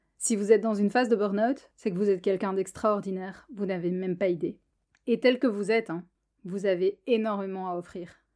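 Fairly quick, fairly even speech from a woman at a medium pitch. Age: 20s. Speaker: podcast host, physiotherapist and coach. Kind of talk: monologue podcast.

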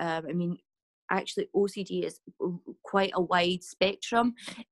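A woman speaks with a Scottish Highlands and Islands accent at medium pitch. She goes at a very slow pace, and the sound is dry and close with no echo. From Scotland, west coast island. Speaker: mental health advocate. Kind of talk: casual chat. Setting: podcast interview.

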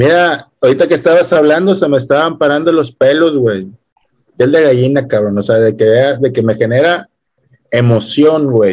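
A man with a Mexican accent and a fairly high pitch, lively intonation, very even loudness and a moderate pace. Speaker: podcast co-host. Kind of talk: casual chat. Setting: home.

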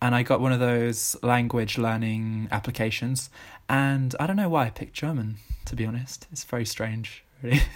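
Using an ordinary speaking voice, a man of medium pitch keeps a moderate pace and fairly even intonation. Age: 20s. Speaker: travel enthusiast. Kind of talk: casual chat.

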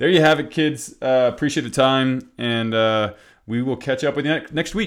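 A man with an ordinary speaking voice talks at a moderate pace. His pitch is medium, with ordinary pitch variation. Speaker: podcast host. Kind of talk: casual conversational podcast chat. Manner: casual, filler-heavy, laughs often.

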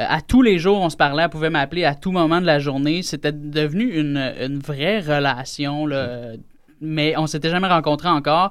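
A man with a plain, everyday voice speaks at a moderate pace. His pitch is fairly high, with ordinary pitch variation. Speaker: radio guest telling a personal story. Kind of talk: casual chat. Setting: studio.

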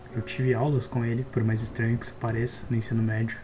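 A man at medium pitch talking at a very fast pace, over noticeable background noise. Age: 20s. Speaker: software engineering student and podcaster. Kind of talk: casual solo monologue.

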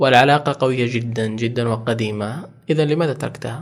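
An unremarkable speaking voice from a man, medium in pitch, fairly slow, with fairly even intonation. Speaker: podcast host. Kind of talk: interview. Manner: formal.

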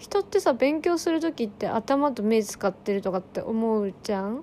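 Over noticeable background noise, the speaker's intonation sounds lively. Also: woman. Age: 20s. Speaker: podcaster and spiritual session practitioner. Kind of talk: casual solo monologue.

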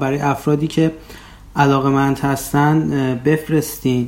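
A normal speaking voice from a man, fairly high-pitched, at a moderate pace. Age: 30s. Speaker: podcast host, PhD student. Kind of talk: casual podcast intro.

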